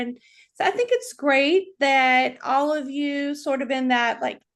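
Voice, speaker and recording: A woman with a North Carolina accent speaks at a high pitch and a moderate pace. Her intonation is fairly even against a quiet background. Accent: Southern US (North Carolina). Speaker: chat show host and author. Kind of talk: casual interview chat.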